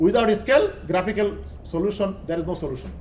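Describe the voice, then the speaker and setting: A man with a high pitch and ordinary pitch variation speaks amid audible room echo and noticeable background noise. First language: Bengali. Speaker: engineering lecturer. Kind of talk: lecture. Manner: halting.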